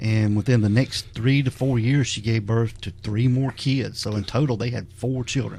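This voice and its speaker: A man's medium-pitched, somewhat breathy voice at a moderate pace, with fairly even intonation and hardly any pauses. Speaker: podcast host. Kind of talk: casual podcast conversation.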